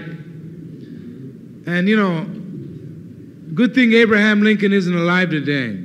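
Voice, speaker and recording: A man speaks with an American accent and ordinary pitch variation. Noticeable background noise runs underneath. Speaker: Chicano movement leader and activist. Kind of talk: political speech to a student audience. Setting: university lecture hall, 1969 recording. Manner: fiery, passionate, persuasive.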